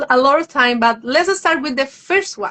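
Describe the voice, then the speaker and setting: A woman with a Spanish accent, moderate pace, ordinary pitch variation. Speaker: live stream host. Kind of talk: interview on live stream. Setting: social media live video.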